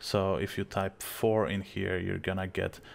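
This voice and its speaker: With a strong Polish accent, a man talks at a fairly slow pace in a very deep, low pitch on a very clean recording with a silent background. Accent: thick Polish. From Poland. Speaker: video tutorial creator. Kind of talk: software tutorial.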